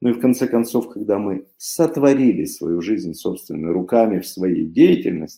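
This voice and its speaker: Here a man speaks slowly, fairly so, with a medium pitch. His dark, mellow tone carries lively intonation. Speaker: conference speaker, philosopher-coach. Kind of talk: conference talk. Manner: animated.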